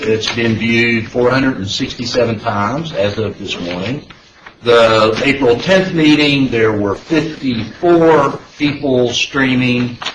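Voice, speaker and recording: A man with an American accent speaks at a very slow pace with ordinary pitch variation. Audible room echo and noticeable background noise come through. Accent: down-home drawl. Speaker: panel chair / transportation official. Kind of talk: public meeting chairing. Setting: public meeting room. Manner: hesitant with fillers.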